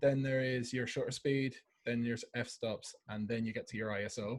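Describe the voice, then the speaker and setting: Somewhat breathy, a man with an Irish accent speaks at a fairly quick pace and medium pitch in a monotone, flat intonation. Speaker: camera club presenter. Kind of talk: lecture. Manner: fast.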